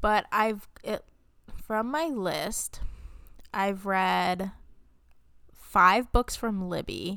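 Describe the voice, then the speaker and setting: Speaking at a very slow pace with long, frequent pauses, a woman uses a medium pitch, ordinary pitch variation and a bright, sharp tone. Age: 20s. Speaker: book podcast co-host. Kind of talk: casual chat. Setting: video call. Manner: soft-spoken.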